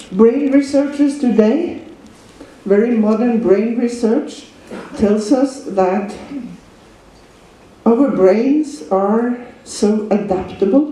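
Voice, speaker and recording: Amid noticeable background noise, the speech moves at a very slow pace with long, frequent pauses. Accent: Norwegian. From Norway. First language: Norwegian. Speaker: dog trainer and seminar teacher. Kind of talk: lecture.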